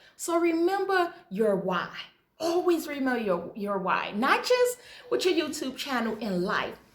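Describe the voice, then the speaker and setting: A high-pitched woman's voice, fairly slow, with very wide pitch swings and audible room echo. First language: Hebrew. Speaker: YouTuber. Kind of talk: motivational vlog talk.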